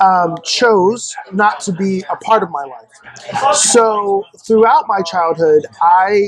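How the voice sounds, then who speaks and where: Against noticeable background noise, this man's voice sits high for a man and shows ordinary pitch variation. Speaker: podcast guest. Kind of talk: casual interview chat.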